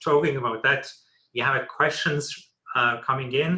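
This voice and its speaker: With a non-native accent, a man speaks at a fairly high pitch in a bright, sharp tone. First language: not English. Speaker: webinar moderator. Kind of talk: panel discussion.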